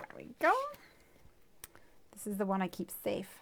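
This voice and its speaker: With an Irish accent, a woman speaks at a medium pitch against noticeable background noise. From Ireland. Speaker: craft video host. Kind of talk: tutorial; casual chat.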